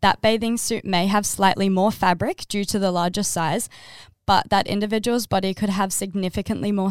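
Woman with an Australian accent, medium pitch and fairly even intonation, in a very clean recording with a silent background. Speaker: podcast co-host. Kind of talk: casual chat.

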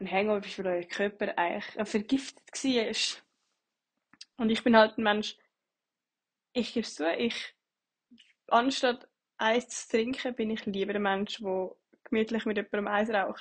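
A woman's somewhat breathy, fairly high voice with fairly even intonation, at a fairly slow pace with long, frequent pauses. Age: 20s. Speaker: bartender, podcaster. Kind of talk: solo monologue podcast. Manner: casual, hesitant.

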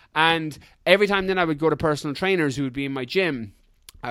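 A man speaks in an Irish accent. His fairly high voice shows ordinary pitch variation. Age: 30s. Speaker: fitness coach and ultra runner. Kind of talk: casual interview chat. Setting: video call.

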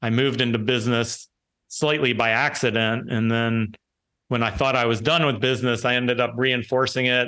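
A man with an American accent talks at a fairly quick pace, medium in pitch and monotone, with flat intonation. His tone is bright and sharp, and his loudness very even. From Washington D.C., US. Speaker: entrepreneur. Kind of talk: interview.

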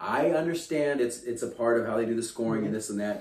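An animated man with an American accent, fairly low in pitch with ordinary pitch variation, at a fairly quick pace amid audible room echo. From Kansas. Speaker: sports podcast host. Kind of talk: casual chat.

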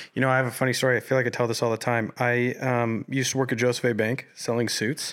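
Very fast and with hardly any pauses, a man talks at a medium pitch. His loudness stays very even throughout. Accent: American. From Colorado. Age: 20s. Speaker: independent musician. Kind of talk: casual chat. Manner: animated.

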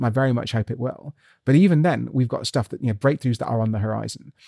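A man with a British accent talks very fast in a dark, mellow tone with lively intonation. The sound is dry and close with no echo. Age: 30s. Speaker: scientist. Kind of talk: interview.

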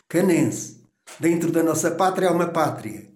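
A high-pitched male voice with audible room echo. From Portugal, Canas de Senhorim (Viseu district). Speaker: tailor. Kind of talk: oral history interview.

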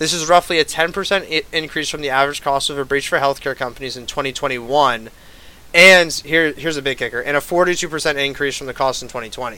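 A man speaks at a moderate pace with big swings in loudness. His pitch is fairly high, with ordinary variation and a bright, sharp tone. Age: 20s. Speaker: student presenter. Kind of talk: class presentation podcast. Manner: hesitant, many fillers.

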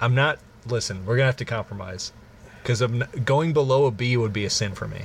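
At a very fast pace, a somewhat breathy voice with an American accent speaks with ordinary pitch variation. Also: man, medium pitch for a man. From Illinois. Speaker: podcast co-host. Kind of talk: improvised comedic storytelling; casual chat.

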